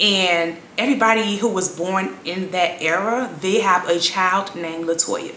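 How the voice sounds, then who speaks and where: A woman with an American accent speaks with lively intonation. Audible room echo and noticeable background noise surround her. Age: 30s. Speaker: vlogger. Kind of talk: casual chat.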